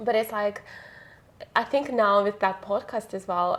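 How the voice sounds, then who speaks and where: Noticeable background noise sits behind a woman's voice. She speaks at a moderate pace with fairly even intonation. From Russia. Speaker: podcast host and actor. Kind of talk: casual interview chat. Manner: halting.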